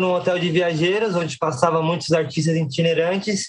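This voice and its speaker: A man with a high pitch speaks at a moderate pace with monotone, flat intonation. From Brazil, Guarulhos (São Paulo). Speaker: circus performer and juggler. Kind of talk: interview. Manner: halting.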